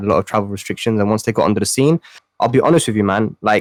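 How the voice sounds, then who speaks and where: A man speaks with a fairly low pitch. The sound is dry and close, with no echo. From Pakistan. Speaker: esports player. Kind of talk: casual chat. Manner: animated.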